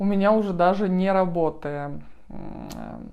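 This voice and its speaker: A woman speaks in a fairly low, dark and mellow voice, with audible room echo around her. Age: 30s. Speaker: vlogger with muscular dystrophy. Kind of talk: vlog introduction. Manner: hesitant, many fillers.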